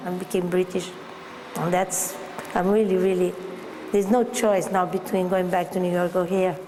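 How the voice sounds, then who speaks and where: A woman with an American accent speaks at a medium pitch, with noticeable background noise and audible room echo. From Brazil. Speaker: artist and gallery owner. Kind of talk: documentary interview. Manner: halting, with fillers.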